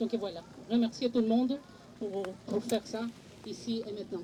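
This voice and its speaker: With a non-native accent, a woman speaks at a moderate pace and fairly high pitch, her intonation fairly even, amid noticeable background noise. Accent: noticeable foreign. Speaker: parent speaking at a political conference. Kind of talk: panel discussion. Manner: halting, many hesitations.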